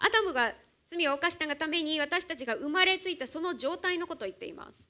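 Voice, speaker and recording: A woman speaks in a raised, projected voice with a bright, sharp tone. Her intonation is lively and her pace fairly quick. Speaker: church interpreter. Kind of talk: sermon interpretation. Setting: church.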